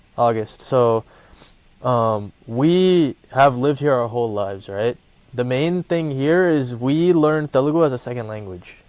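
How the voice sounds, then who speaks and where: Speaking in a Midwestern US accent at a fairly slow pace, a man keeps a medium pitch with lively intonation. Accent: American Midwest English. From US Midwest, Columbus, Ohio. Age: 20s. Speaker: movie review podcaster, college student. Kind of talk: casual chat.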